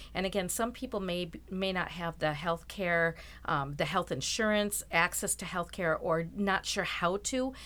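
Recorded very cleanly over a silent background, a woman with an American accent talks at a moderate pace, her fairly low-pitched voice bright and sharp in tone, with vocal fry and ordinary pitch variation. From Rochester, Minnesota. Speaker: event organizer for a ministry outreach. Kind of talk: interview.

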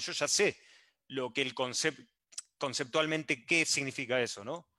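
A man with an Argentine accent speaks at a moderate pace in a bright, sharp tone. The recording is very clean, with a silent background. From Argentina. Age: 30s. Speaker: software developer. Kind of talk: casual chat. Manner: halting.

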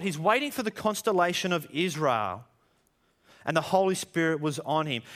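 Someone speaks with lively intonation in an Australian accent. The recording is very clean, with a silent background. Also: man. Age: 30s. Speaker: pastor. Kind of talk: sermon.

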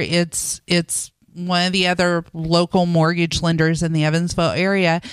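A woman with an American accent talks at a fairly slow pace in an unremarkable speaking voice. The recording is very clean, with a silent background. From Indiana (Boonville). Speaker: mortgage lender, radio co-host. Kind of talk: casual radio talk show.

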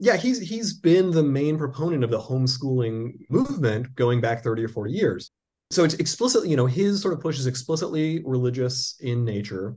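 With hardly any pauses, a man talks at a fairly quick pace in a dark, mellow, somewhat breathy tone with lively intonation. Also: medium pitch for a man. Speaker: law professor. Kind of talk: interview.

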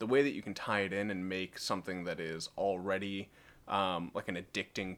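Moderate in pace and fairly low in pitch, a man speaks in a plain, everyday voice. The recording is very clean, with a silent background. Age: 30s. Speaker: gamer and podcast guest. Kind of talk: casual chat.

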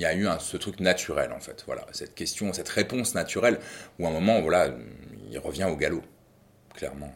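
A man speaking at a fairly quick pace. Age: 40s. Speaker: father. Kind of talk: testimony. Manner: halting.

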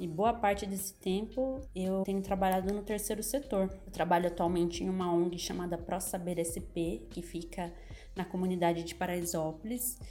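Audible room echo around a woman's voice, its pitch varying in an ordinary way. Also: medium pitch for a woman, moderate pace. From interior of São Paulo state, Brazil. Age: 30s. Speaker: NGO worker. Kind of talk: casual chat.

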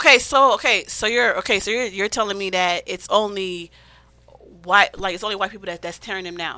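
The tone is bright and sharp, with big swings in loudness. Delivery is fairly quick, and the intonation stays fairly even. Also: woman. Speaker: podcast guest. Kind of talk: casual chat.

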